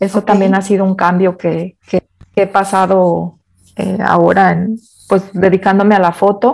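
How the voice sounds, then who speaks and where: A woman speaks at a moderate pace. Her intonation is flat and monotone. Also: medium pitch for a woman. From Mexico, Guadalajara area. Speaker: photographer. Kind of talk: interview.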